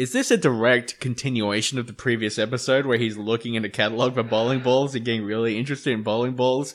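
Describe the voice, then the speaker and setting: Over a quiet background, a man with an Australian accent talks very fast at a medium pitch, in a flat monotone with hardly any pauses. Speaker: podcast co-host. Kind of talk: casual chat.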